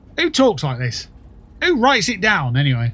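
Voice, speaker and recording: With a British accent, a somewhat breathy man speaks at a moderate pace in a fairly high pitch. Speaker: gaming streamer. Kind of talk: casual chat. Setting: livestream.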